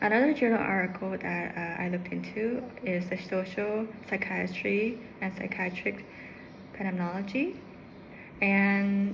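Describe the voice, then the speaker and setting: A woman talks at a fairly slow pace with medium pitch and fairly even intonation. Audible room echo and noticeable background noise fill the recording. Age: 30s. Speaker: psychology student. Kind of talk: class presentation. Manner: halting, many fillers.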